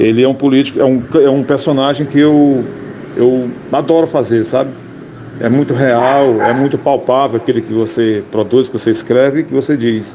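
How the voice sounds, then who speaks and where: A man's medium-pitched voice at a moderate pace, with fairly even intonation and noticeable background noise. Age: 60s. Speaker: radio comedian. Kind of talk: interview.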